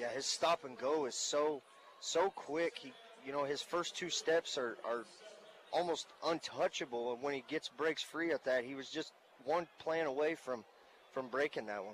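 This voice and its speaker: The man talks at a moderate pace in an unremarkable speaking voice, his pitch fairly high with ordinary variation. The sound is dry and close, with no echo. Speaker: color commentator. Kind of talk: live sports commentary, analyzing plays. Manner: relaxed, conversational, explanatory, with frequent filler words.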